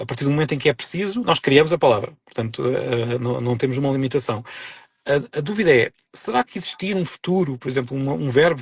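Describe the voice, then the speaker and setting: Very fast, somewhat breathy speech with ordinary pitch variation. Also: man. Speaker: author and linguist. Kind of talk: interview conversation on a live stream. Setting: live online broadcast. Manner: hesitant, many false starts and repetitions.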